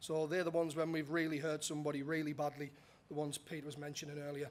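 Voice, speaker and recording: At a very fast pace, a man speaks in a fairly high pitch with monotone, flat intonation. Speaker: safety manager, conference presenter. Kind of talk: conference presentation. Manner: casual, some filler words.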